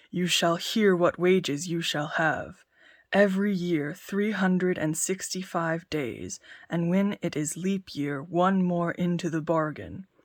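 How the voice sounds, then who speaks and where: A woman uses a put-on character voice that is booming and fairly low in pitch. Her delivery moves at a fairly slow pace. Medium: read story. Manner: growling.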